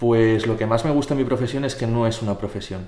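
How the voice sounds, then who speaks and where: The intonation stays fairly even while an audible echo from the room hangs around the voice. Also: man. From Spain, Zaragoza. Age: 20s. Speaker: physiotherapist. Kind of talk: casual interview.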